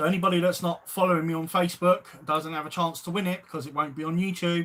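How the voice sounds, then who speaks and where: A man talks very fast in a high pitch with monotone, flat intonation. Noticeable background noise is present. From South East London (Lewisham). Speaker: YouTube angling channel host, float maker. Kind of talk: live stream chat. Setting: live stream. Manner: casual, hesitant with fillers.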